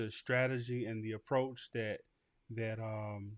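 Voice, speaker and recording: In a quiet background, a man speaks at a medium pitch and fairly slow pace with monotone, flat intonation. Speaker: barbering podcast host teaching content creation. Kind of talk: livestream tutorial. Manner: casual with fillers and repetitions.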